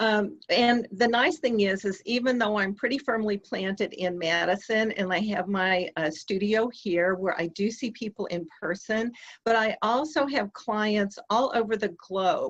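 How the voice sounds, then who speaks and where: A woman speaks with an American accent at a fairly slow pace. There are hardly any pauses, and her pitch variation is ordinary. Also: fairly high pitch for a woman. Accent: slight Southern US, comes out sometimes. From US South. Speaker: EFT practitioner, dating coach. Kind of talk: interview.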